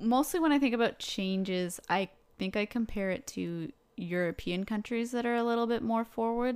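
An ordinary speaking voice from a woman, fairly high in pitch, with ordinary pitch variation and a moderate pace, on a very clean recording with a silent background. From Canada. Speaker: podcaster and vegan YouTuber. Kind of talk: casual chat podcast.

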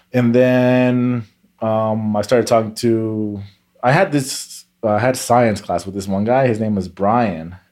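An unremarkable speaking voice at a fairly slow pace, in an American accent. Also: man, medium pitch for a man, fairly even intonation. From California. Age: 20s. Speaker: shuffle dancer. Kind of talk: casual chat.

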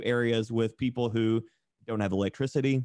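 The background stays quiet while a man talks with an American accent. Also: dry, close sound with no echo. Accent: Southern US, toned down. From Tennessee, US South. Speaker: tattoo artist and streamer. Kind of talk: casual podcast interview.

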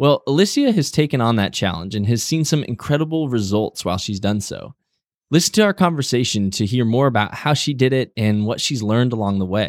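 A man's plain, everyday voice at a medium pitch, fairly quick pace and lively intonation, with a dry, close sound and no echo. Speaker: podcast host. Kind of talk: interview conversation. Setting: remote call across time zones.

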